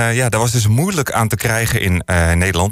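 Music plays in the background. The speaker talks at a fairly quick pace with lively intonation. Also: man. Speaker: radio DJ. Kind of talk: radio music show presenting. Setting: studio. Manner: casual, frequent filler hesitations.

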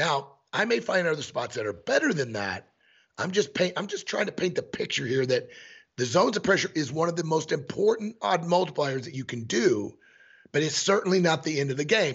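With an American accent, a man talks fairly quickly at a high pitch with lively intonation. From Missouri. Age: 50s. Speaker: elk hunting guide and e-scouting instructor. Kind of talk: casual interview. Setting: remote call with headphones.

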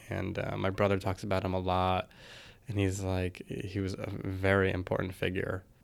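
A man with a very deep, low pitch and monotone, flat intonation at a moderate pace, in a very clean recording with a silent background. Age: 30s. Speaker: ballet dancer. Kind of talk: interview.

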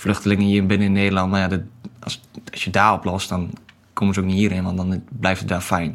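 A man speaks at a fairly quick pace in a very deep, low voice with monotone, flat intonation over noticeable background noise. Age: 20s. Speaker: marine recruiter. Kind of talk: podcast interview. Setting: studio.

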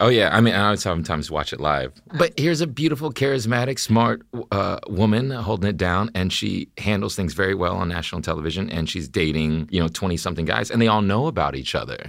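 At a very fast pace with hardly any pauses, a man uses a fairly low pitch with very wide pitch swings and vocal fry. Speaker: actor guest. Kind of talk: casual chat. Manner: charming, playful.

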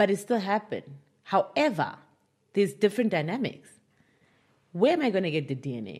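Vocal fry, very wide pitch swings and a fairly quick pace broken by long, frequent pauses, on a very clean recording with a silent background. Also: woman, medium pitch for a woman. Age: 30s. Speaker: author. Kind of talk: interview.

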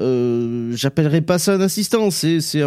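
A man's fairly high-pitched voice, dark and mellow in tone, with a southwestern French accent. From southwestern France (Basque area). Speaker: podcast co-host. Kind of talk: casual chat.

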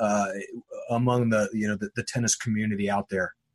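With an ordinary speaking voice, a man talks at a medium pitch with fairly even intonation. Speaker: radio host. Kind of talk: radio show banter and interview.

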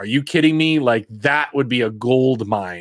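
At a moderate pace, a man with a plain, everyday voice speaks with lively intonation, the sound dry and close with no echo in a very clean recording with a silent background. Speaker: podcast host. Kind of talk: casual chat.

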